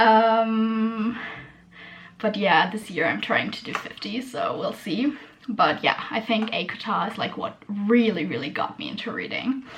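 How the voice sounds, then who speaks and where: Through noticeable background noise, a woman speaks at a fairly slow pace in a fairly high pitch with ordinary pitch variation. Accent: German. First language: German. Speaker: booktuber. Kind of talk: casual chat. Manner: hesitant, many fillers.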